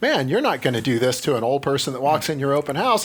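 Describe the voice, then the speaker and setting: Over noticeable background noise, a man speaks at a very fast pace with a fairly high pitch. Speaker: real estate agent. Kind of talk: casual chat. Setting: studio. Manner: loud.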